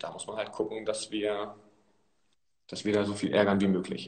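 A man with a fairly low pitch speaks at a moderate pace in a plain, everyday voice. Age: 20s. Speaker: amateur football player. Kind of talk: casual interview. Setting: live video stream from a press room.

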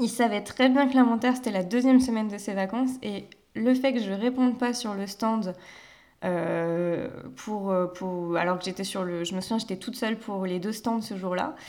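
The pace is moderate and the pitch variation ordinary. It is a plain, everyday voice. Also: woman, fairly high pitch for a woman. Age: 20s. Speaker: sales adviser and graphic designer. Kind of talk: casual interview.

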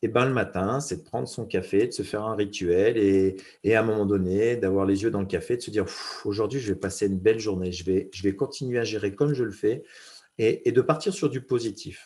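The man's voice is somewhat breathy, with a dark, mellow tone and a fairly low pitch. He talks at a moderate pace with fairly even intonation. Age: 40s. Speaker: former mountain rescuer, business speaker. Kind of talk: casual interview. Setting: podcast interview. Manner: halting, repeats words.

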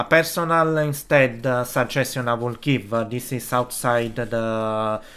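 A man talks at a very slow pace with an Italian accent. His pitch sits in the middle of the male range, and his intonation stays fairly even. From Italy. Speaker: podcast host, film production worker. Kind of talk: solo podcast monologue. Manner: halting, many fillers.

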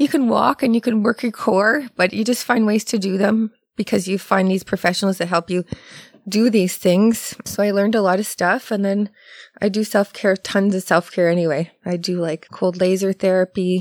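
A woman with a Canadian accent talks at a moderate pace in an ordinary speaking voice, medium in pitch with ordinary pitch variation. The very clean recording has a silent background and a dry, close sound with no echo. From Ontario, Canada. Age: 40s. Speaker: massage therapist. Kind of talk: casual chat. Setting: studio.

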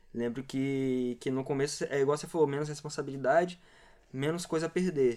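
His tone dark and mellow, a man talks with a fairly high pitch and fairly even intonation. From Cariacica, Espírito Santo, Brazil. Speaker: graffiti artist. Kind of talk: casual chat.

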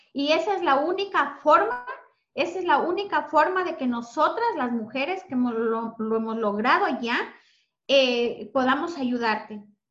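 Music plays in the background, and audible room echo surrounds the voice. A woman speaks at a high pitch with very wide pitch swings. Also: fairly slow pace. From Ecuador. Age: 40s. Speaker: self-esteem mentor. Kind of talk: interview testimony.

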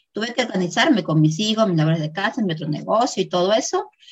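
A woman's voice comes out somewhat breathy. Her pitch is medium and moves in an ordinary way. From Peru. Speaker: affiliate marketer. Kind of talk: interview.

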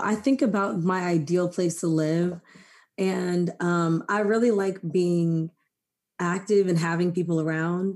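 A woman with an ordinary speaking voice and an American accent, fairly low pitch, ordinary pitch variation, fairly slow pace, and a quiet background. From Maryland, US. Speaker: podcast host. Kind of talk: casual chat.

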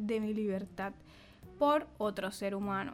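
Over music in the background, a woman speaks at a very slow pace with fairly even intonation. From Caribbean Colombia, Bolívar. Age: 30s. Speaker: podcast co-host, journalist. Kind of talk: casual chat.

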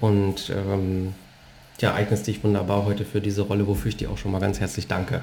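A man speaks with a fairly low, somewhat breathy voice. His intonation stays monotone and flat. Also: fairly quick pace. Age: 40s. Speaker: podcast host and former bank sales director. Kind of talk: casual interview conversation. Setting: living room at home.

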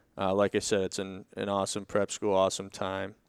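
Very clean recording, silent background, and a man with an American accent at a fairly low pitch and moderate pace. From Boston, Massachusetts. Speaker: professional hockey player. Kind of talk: casual interview.

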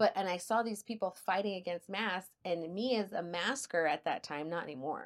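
A woman speaks at a moderate pace with a medium pitch, ordinary pitch variation and an El Paso accent, with hardly any pauses, in a very clean recording with a silent background. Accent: El Paso Texan. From El Paso, Texas. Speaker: podcast co-host. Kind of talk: casual chat.

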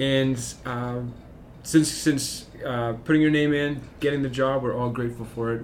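A man talks with a Canadian Prairies accent and fairly even intonation. Room echo can be heard. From Saskatchewan, Moose Jaw. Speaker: school podcast host, teacher. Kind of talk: casual interview chat.

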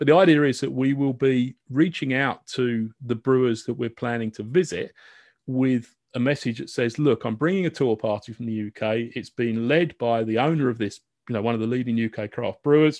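In a British accent, a man speaks at a medium pitch. The sound is dry and close with no echo, over a quiet background. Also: ordinary pitch variation, moderate pace. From UK. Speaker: podcast host. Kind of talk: casual interview chat.

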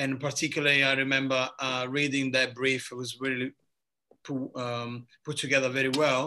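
A man with an Italian accent speaks at a moderate pace and medium pitch. His tone is bright and sharp, his intonation monotone and flat. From southern Italy. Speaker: bartender. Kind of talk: casual chat. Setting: video call.

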